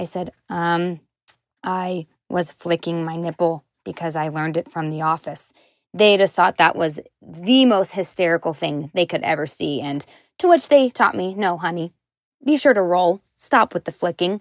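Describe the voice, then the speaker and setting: A woman with an American accent speaks in a plain, everyday voice at a moderate pace. Her pitch is fairly low with ordinary variation, and the sound is dry and close with no echo. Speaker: podcast listener calling in. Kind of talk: voicemail story. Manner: chatty.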